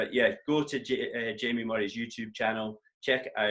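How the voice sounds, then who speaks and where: The speaker has a northeast Scottish accent. The pace is moderate and the pitch varies an ordinary amount. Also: man. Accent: north-east Scottish. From Scotland, north-east (Doric area). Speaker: tennis coach and co-host. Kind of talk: casual chat.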